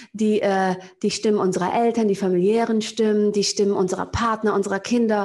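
A woman talks at a moderate pace with fairly high pitch. She has an ordinary speaking voice. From Germany, Cologne (Köln-Kalk). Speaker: business coach. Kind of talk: interview.

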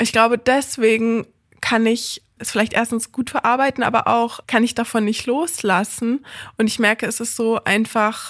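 On a very clean recording with a silent background, a woman speaks at a moderate pace in a normal speaking voice. Her pitch is fairly high, her intonation fairly even. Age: 20s. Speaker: hospice volunteer and lecturer. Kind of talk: interview. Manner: casual, many fillers.

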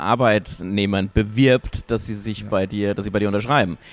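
A man's fairly low-pitched voice keeps fairly even intonation. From Hesse, Wetterau (Wölfersheim). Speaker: podcast host, politician. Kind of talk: casual interview. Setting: café.

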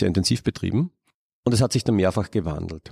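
In an Austrian accent, a man speaks at a very fast pace and a fairly low pitch, with a dry, close sound and no echo. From Upper Austria. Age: 40s. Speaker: ecologist and biodiversity researcher. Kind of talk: interview. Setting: palm house of a botanical garden.

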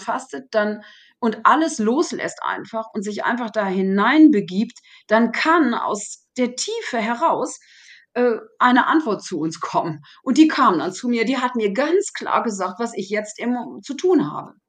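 The pitch swings very widely. The delivery comes at a fairly slow pace. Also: woman. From Germany. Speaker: therapy method coach. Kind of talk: interview. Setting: remote call.

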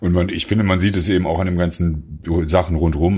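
The speech comes at a fairly quick pace with fairly even intonation. The voice is somewhat breathy. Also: man. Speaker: rock musician. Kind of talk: casual interview chat.

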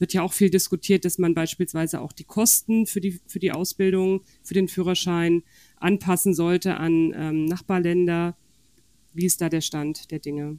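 A woman talks at a moderate pace in a fairly low pitch, with a dark, mellow tone. Her intonation is monotone and flat, and the sound is dry and close with no echo. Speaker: podcast host, magazine deputy editor-in-chief. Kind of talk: casual chat.

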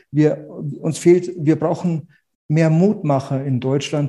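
At a very slow pace, a man speaks in a dark, mellow tone with a fairly high pitch. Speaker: real estate agent. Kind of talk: interview conversation. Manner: repeats words, restarts.

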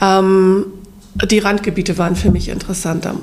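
Noticeable background noise fills the recording. A woman does the talking. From northern Germany. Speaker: hobby ceramic painter. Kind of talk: casual chat.

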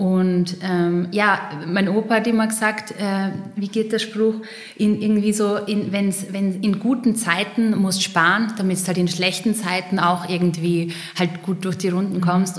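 Speaking at a fairly slow pace in a flat monotone with a slight Styrian accent, this voice comes through noticeable background noise and audible room echo. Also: woman. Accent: slight Styrian Austrian dialect. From Austria, eastern Styria. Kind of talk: casual interview.

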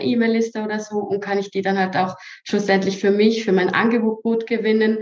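Medium pitch and fairly even intonation from a woman speaking at a moderate pace. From Switzerland. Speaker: social media strategist. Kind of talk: interview.

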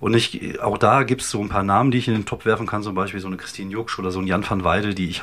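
A man speaks very fast at a fairly low pitch. His intonation is flat and monotone, with noticeable background noise. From Germany, Wuppertal (North Rhine-Westphalia). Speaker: stand-up comedian and podcaster. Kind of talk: casual chat. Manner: hesitant, many fillers.

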